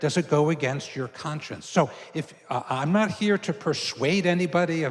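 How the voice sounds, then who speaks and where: At a moderate pace, a man with an American accent speaks in a fairly high pitch. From New York City, Queens. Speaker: Jesuit priest and university professor. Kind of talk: lecture. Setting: church hall with live audience. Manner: casual, conversational with fillers.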